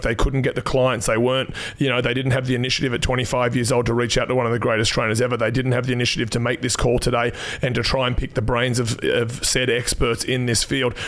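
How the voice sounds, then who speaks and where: Over noticeable background noise, a man with an Australian accent talks at a very fast pace and medium pitch in an animated tone, keeping his loudness very even. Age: 40s. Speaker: personal trainer, podcast host. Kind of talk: casual chat.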